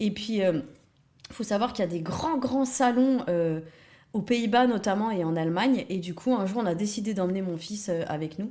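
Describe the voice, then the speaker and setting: This woman's voice has a dark, mellow tone at a medium pitch. Her intonation is lively. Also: moderate pace. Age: 30s. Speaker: early childhood educator. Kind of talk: interview. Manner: hesitant with many fillers.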